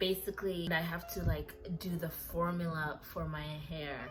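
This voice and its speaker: A woman talks with a non-native accent. The room echo is audible. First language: not English. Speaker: lifestyle vlogger. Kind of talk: hair care tutorial. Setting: home kitchen. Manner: casual, chatty.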